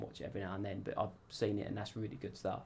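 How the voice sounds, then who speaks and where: Somewhat breathy delivery with monotone, flat intonation. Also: man. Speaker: amateur racing driver. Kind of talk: interview. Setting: radio studio. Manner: casual, hesitant with fillers.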